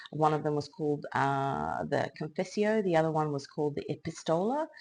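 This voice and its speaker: A woman with an Australian accent talks at a moderate pace in a very deep, low pitch over a quiet background. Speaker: tarot reader and illustrator. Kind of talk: tarot reading monologue.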